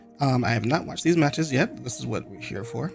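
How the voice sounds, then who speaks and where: Ordinary pitch variation runs through the speech while music plays in the background. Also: man. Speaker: Pokemon VGC commentator. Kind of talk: casual game commentary.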